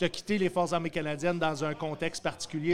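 With a Quebec accent, a man speaks at a high pitch. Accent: Québécois French. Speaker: podcast host. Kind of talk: live comedy podcast. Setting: stage with audience. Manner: animated.

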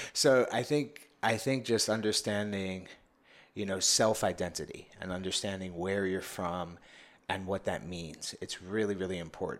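A man with a New York accent, fairly low in pitch with ordinary variation, at a moderate pace. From New York City (Bronx). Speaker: men's coach. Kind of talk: casual interview.

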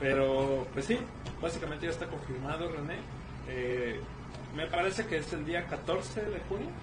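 Amid noticeable background noise and audible room echo, a man speaks fairly slowly at a fairly high pitch with ordinary pitch variation and long, frequent pauses. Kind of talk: casual chat. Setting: livestream from a room at the office. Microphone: quiet audio, moving closer to mic.

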